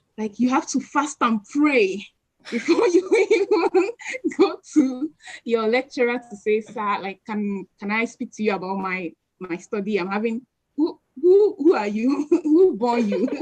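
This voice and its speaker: A woman with a high voice speaks at a fairly slow pace. Her pitch swings very widely. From Nigeria. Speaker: lecturer and PhD researcher. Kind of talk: webinar Q&A talk. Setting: online live stream. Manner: animated.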